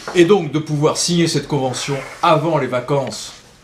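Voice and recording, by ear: With audible room echo, a man speaks at medium pitch and a fairly slow pace, his pitch making big swings.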